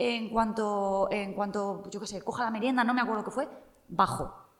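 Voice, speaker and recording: Speaking at a moderate pace with a fairly high pitch, a woman is heard through audible room echo and noticeable background noise. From Spain, Cuenca. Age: 30s. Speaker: journalist. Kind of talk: casual interview.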